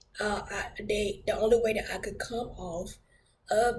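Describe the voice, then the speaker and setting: Amid noticeable background noise and audible room echo, a woman at medium pitch talks at a moderate pace with fairly even intonation. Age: 30s. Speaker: church minister sharing testimony. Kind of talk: testimony. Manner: hesitant, many fillers.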